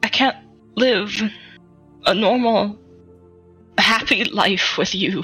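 A woman puts on a character voice at a medium pitch, with a bright, sharp tone and a slightly husky edge. She goes at a slow pace with ordinary pitch variation while faint music plays in the background.

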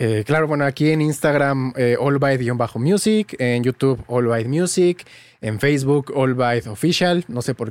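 A man speaks in a Mexican accent at a moderate pace. The sound is dry and close, with no echo. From Mexico, small town. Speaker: music producer and tutorial creator. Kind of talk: casual interview chat.

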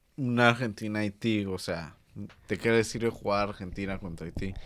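At a fairly slow pace, a man speaks with a Mexican accent. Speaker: football podcast host. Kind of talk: casual chat. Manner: animated.

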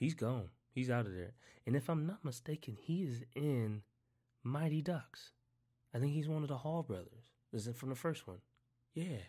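Over a very clean recording with a silent background, a man speaks at medium pitch with a dark, mellow tone, somewhat breathy, using lively intonation and long, frequent pauses. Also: moderate pace. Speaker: podcast host. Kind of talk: casual commentary.

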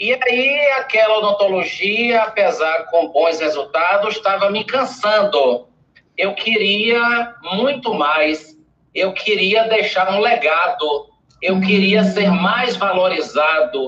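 A man speaks at a high pitch and a very slow pace. His voice is raised and projected, with very even loudness. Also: lively intonation. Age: 50s. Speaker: dentist and public speaking mentor. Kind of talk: interview on a live stream.

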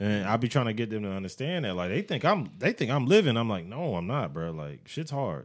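A man rushes along at a fairly quick pace with hardly any pauses, his pitch swinging very widely. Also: medium pitch for a man. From US military family. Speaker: podcast co-host. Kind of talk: casual chat.

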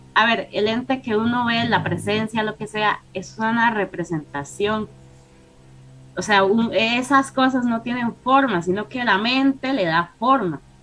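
Over noticeable background noise, a woman talks at a fairly slow pace and a fairly high pitch. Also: ordinary pitch variation. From Costa Rica. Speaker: paranormal guest. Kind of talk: storytelling.

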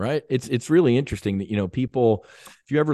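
Recorded dry and close with no echo against a quiet background, a man with an American accent speaks in a dark, mellow tone with lively intonation. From US, South Jersey near Philadelphia. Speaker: former fighter pilot, veterans' foundation founder. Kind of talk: interview.

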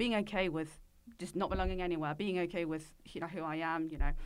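A woman's unremarkable speaking voice, fairly low in pitch, at a fairly quick pace in a very clean recording with a silent background. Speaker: podcast co-host. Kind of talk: casual chat.

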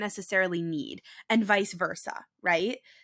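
In a very clean recording with a silent background, a woman speaks at a medium pitch and a fairly slow pace. Her tone is bright and sharp, her pitch variation ordinary, and the sound dry and close with no echo. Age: 20s. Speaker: podcast host. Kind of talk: casual chat.

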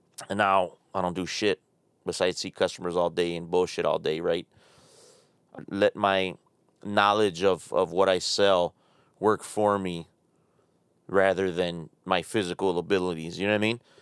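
Long, frequent pauses break up a man's very deep, low voice, delivered in a flat monotone at a moderate pace. The sound is dry and close with no echo. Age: 30s. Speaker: podcast host. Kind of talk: casual monologue. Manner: halting.

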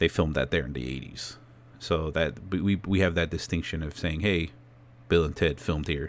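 Very deep and low, this man's voice carries an American accent and vocal fry, with fairly even intonation. He speaks at a fairly quick pace over a very clean, silent background. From California, then Phoenix area, Arizona. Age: 30s. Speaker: podcaster. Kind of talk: casual solo monologue.

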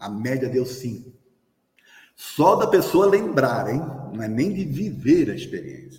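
In a room with audible echo, a man with a fairly high pitch talks at a very slow pace with long, frequent pauses, lively intonation and big swings in loudness. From Brazil. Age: 60s. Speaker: spiritist lecturer. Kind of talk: lecture. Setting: hall with live audience, also streamed.

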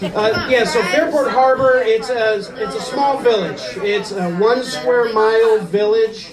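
A fairly slow delivery in an American accent, with hardly any pauses and ordinary pitch variation, over crowd noise in the background. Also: man, high pitch for a man. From US Midwest (Ohio). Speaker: stand-up comedian. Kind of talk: stand-up. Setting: stage with audience.

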